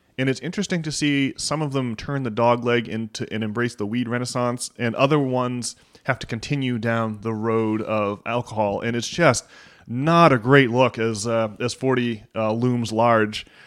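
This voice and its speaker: With an unremarkable speaking voice, a man talks at a moderate pace in a medium pitch, his intonation fairly even. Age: 30s. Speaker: podcast host. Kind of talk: casual chat.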